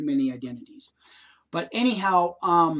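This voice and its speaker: A man's high-pitched voice comes through over a quiet background. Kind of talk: personal testimony. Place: home room. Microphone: webcam.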